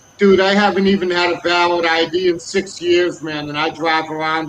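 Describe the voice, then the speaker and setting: A man with an American accent talks at a fairly quick pace and a high pitch. His intonation is fairly even, with noticeable background noise behind him. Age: 50s. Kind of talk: casual chat.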